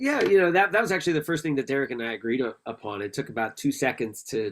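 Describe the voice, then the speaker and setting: Speaking with an American accent, a man races along at a very fast pace with lively intonation. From Washington DC. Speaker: author and historian. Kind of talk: virtual conversation. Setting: video call.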